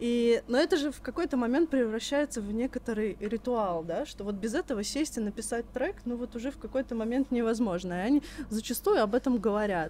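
Amid noticeable background noise, a woman talks in a fairly high pitch with lively intonation. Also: fairly quick pace. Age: 20s. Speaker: podcast co-host. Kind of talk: casual chat.

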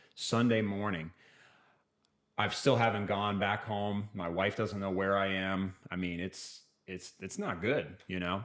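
A man with an American accent and an unremarkable speaking voice, fairly low in pitch, with fairly even intonation at a fairly slow pace, in a very clean recording with a silent background. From US Midwest, Kansas City, Missouri. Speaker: evangelist, cancer survivor. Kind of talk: testimony.

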